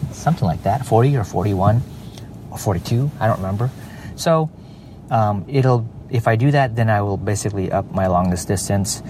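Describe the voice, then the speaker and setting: Over noticeable background noise, a man with a fairly low pitch and ordinary pitch variation talks at a fairly quick pace, broken by long, frequent pauses. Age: 40s. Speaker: podcast host. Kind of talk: casual monologue. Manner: halting, many fillers.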